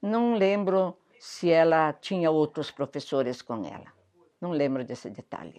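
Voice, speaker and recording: A woman's dark, mellow tone with ordinary pitch variation over a quiet background. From southern Brazil, Rio Grande do Sul. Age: 70s. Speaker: interviewee recalling local history. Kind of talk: oral history interview.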